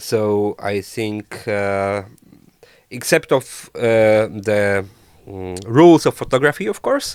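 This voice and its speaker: In a very clean recording with a silent background, a man with a Polish accent speaks very slowly at a fairly low pitch, with long, frequent pauses, big swings in loudness and ordinary pitch variation. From Poland. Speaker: traveler and photographer. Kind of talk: casual interview chat. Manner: halting, many fillers.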